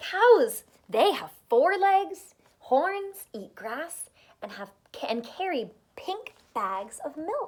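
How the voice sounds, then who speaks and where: A woman uses a put-on character voice at extremely high pitch, with very wide pitch swings and a very slow pace. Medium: read story. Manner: proud, storytelling.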